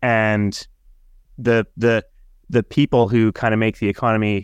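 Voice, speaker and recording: A man talks with a Canadian accent at a fairly low pitch. The sound is dry and close with no echo, over a quiet background. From Canada. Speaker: podcast co-host. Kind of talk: casual chat. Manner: halting, repeats words.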